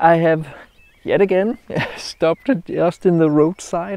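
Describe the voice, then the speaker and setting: Over a quiet background, a man with a Danish accent speaks very slowly in a dark, mellow tone, his fairly high pitch varying in an ordinary way, in a dry sound with no echo. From Denmark. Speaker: landscape photographer. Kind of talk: outdoor vlog tutorial. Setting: outdoors by a roadside. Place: open country. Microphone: lapel.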